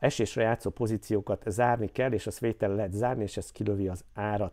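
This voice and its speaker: The tone is dark and mellow on a very clean recording with a silent background. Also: man. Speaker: crypto YouTuber and community founder. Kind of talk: market analysis vlog.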